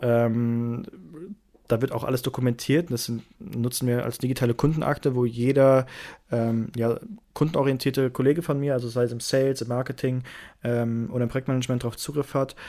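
A man speaks in an unremarkable speaking voice, at a moderate pace and medium pitch, with fairly even intonation. The recording is very clean, with a silent background. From Germany, Lake Constance. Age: 20s. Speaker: startup founder and CEO. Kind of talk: interview.

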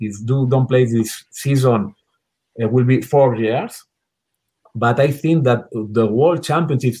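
Somewhat breathy and dark, mellow in tone, this man's voice sits at a medium pitch with ordinary pitch variation and a fairly slow pace. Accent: Spanish. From Spain. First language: Spanish. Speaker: water polo national team coach. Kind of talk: interview. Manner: halting.

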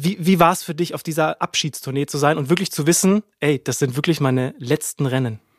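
With a dry, close sound and no echo, a man with a fairly high pitch talks at a fairly quick pace with hardly any pauses and ordinary pitch variation. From Baden-Württemberg, Bretten. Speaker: podcast host. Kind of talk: casual chat. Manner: animated.

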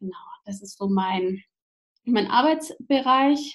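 A somewhat breathy woman at a moderate pace, her pitch varying an ordinary amount. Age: 30s. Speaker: social pedagogue and parent coach. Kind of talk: casual interview.

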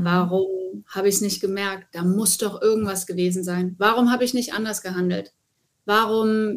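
With an ordinary speaking voice, a woman talks at a moderate pace in a medium pitch and fairly even intonation. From Hesse, Wiesbaden. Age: 40s. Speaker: TV presenter and motorsport journalist. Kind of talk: interview.

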